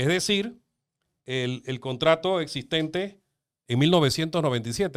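In a very clean recording with a silent background, a man speaks in an animated tone with lively intonation. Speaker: lawyer. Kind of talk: interview.

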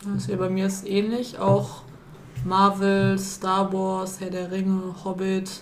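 Over noticeable background noise, a woman speaks very slowly at a medium pitch in a monotone, flat intonation. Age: 20s. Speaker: volunteer at youth centre. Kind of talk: casual chat.

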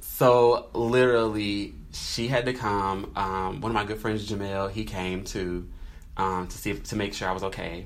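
A man with a fairly low pitch and an American accent uses a normal speaking voice, moving at a moderate pace with ordinary pitch variation. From North Carolina. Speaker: podcast co-host. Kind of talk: casual chat.

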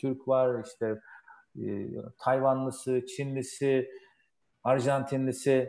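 Slow to a great degree, a man speaks with long, frequent pauses, monotone, flat intonation and a dark, mellow tone. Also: medium pitch for a man. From Turkey. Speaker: aerospace engineer. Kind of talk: interview.

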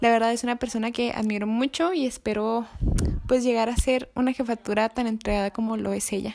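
On a very clean recording with a silent background, a woman talks in a normal speaking voice, fairly high in pitch with ordinary pitch variation. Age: 20s. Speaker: youth movement leader interviewing a friend. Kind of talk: casual interview.

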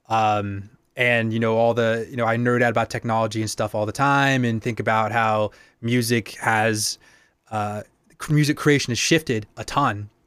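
An unremarkable speaking voice in an American accent, with fairly even intonation and a moderate pace. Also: man, medium pitch for a man. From Boston, Massachusetts. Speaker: musician and producer. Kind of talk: casual chat. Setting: video call.

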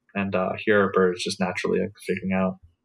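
A man speaks at a moderate pace. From Oklahoma, US. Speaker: biology student. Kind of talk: casual interview chat. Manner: halting, many fillers.

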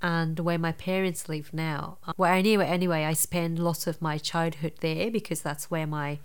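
A woman's fairly low voice with a Japanese accent, flat and monotone, at a moderate pace. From Japan, rural Nara. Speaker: dance psychotherapist. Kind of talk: interview. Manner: halting.

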